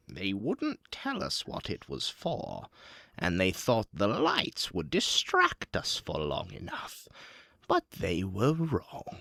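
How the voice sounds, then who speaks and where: At a fairly slow pace, a man puts on a character voice at a fairly low pitch. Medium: actual play. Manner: calm, predatory, mocking.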